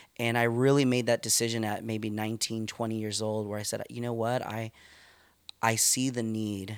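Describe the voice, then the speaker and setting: The man's intonation is monotone and flat. He speaks at a moderate pace. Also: medium pitch for a man. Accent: Californian. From California, Stockton. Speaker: youth pastor. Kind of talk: casual interview.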